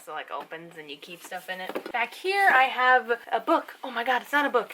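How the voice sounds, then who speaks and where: Noticeable background noise runs behind a woman's voice. She talks at a fairly quick pace with very wide pitch swings. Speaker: booktuber. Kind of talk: casual vlog. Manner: fast; animated.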